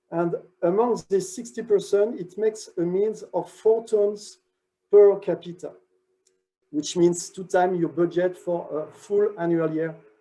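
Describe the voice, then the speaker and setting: A man with a French accent, a dark, mellow tone, a high pitch and a fairly slow pace. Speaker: research director. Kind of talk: conference talk. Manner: halting.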